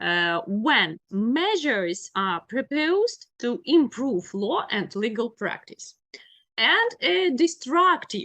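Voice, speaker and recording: A woman speaks very slowly with a Ukrainian accent. Her tone is bright and sharp, and her pitch swings very widely. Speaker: law lecturer. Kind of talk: lecture. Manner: halting, many fillers.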